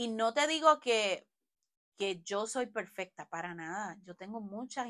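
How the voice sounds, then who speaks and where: A woman's medium-pitched, bright, sharp voice, animated and lively in intonation, at a fairly slow pace with big swings in loudness. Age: 40s. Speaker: podcast host. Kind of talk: solo podcast monologue. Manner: conversational, animated.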